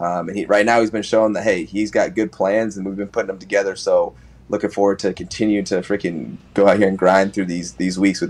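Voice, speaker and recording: Speaking at a very fast pace, a man keeps a fairly even intonation at a fairly low pitch. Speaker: NFL running back; guest. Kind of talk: sports interview. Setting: video call. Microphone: video call.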